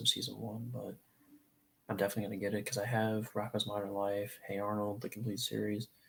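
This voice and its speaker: A soft-spoken, somewhat breathy man talks at a fairly quick pace in a fairly low, monotone voice with flat intonation. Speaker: live streamer. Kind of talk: casual chat. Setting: live stream from a desk in a different room.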